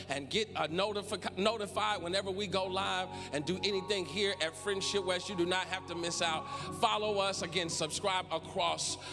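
Clear music plays in the background as a man talks in a raised, projected voice at a moderate pace with fairly even intonation. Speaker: church service host. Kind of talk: worship welcome and announcements. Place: church. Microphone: handheld.

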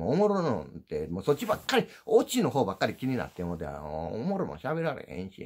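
Speaking at a fairly quick pace in an Osaka accent, a man uses very wide pitch swings and vocal fry against a quiet background. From Osaka, Japan. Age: old. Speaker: YouTuber, former dump truck driver; YouTuber. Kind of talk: casual livestream chat; casual vlog chat. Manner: sounds gruff, as if angry. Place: home room. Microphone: phone near.

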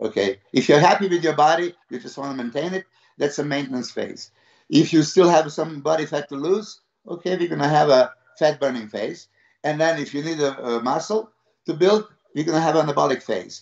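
Over a quiet background, a man talks at a fairly quick pace with ordinary pitch variation. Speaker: bodybuilding coach. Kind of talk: interview answer. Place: home room. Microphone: video call.

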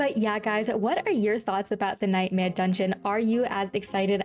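A woman's fairly even intonation comes through light background noise. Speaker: gaming youtuber. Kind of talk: casual vlog chat. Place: home room.

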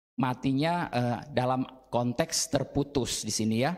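A man is speaking. The background is quiet. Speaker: Bible teacher. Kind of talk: Bible study lesson. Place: classroom. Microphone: handheld.

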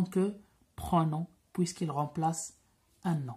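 Speaking at a very slow pace, a woman sounds somewhat breathy. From Morocco. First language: Moroccan Arabic (speaking French). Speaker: French grammar teacher. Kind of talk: lecture. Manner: code-switching Darija and French. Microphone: phone near.

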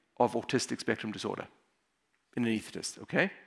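The voice has a bright, sharp tone in a South African accent. The background is quiet. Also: man. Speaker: emergency physician; conference speaker. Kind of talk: conference talk. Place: hall. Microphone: headset.

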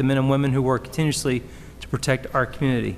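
Here is a man speaking. His pitch is fairly high. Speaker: council member. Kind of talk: formal reading of proclamation. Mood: solemn, formal. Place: hall. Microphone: podium.

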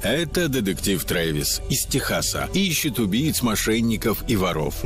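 Over background music, a man speaks at a fairly slow pace in a medium pitch, his pitch swinging very widely while his loudness stays very even. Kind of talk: TV promo announcement.

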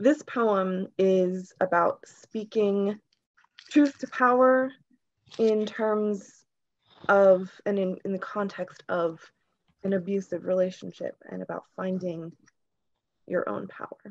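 A woman's shaky voice moves at a very slow pace, with ordinary pitch variation, big swings in loudness, and long, frequent pauses. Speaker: poet. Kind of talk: poetry reading. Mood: calm, earnest, reflective. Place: home room. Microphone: video call.

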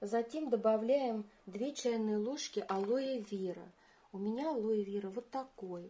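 Very slowly, a woman speaks in a dark, mellow tone. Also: fairly high pitch for a woman, ordinary pitch variation. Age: 50s. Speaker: beauty vlogger. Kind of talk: tutorial.

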